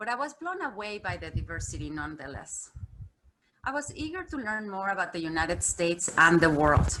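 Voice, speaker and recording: A woman with a Mexican accent has a bright, sharp tone and vocal fry. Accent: pronounced Mexican Spanish. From Mexico. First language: Spanish. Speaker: corporate communications executive. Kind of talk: keynote speech. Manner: formal.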